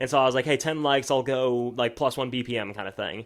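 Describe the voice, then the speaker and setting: Very fast male speech with fairly even intonation. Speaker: country musician. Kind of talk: casual chat.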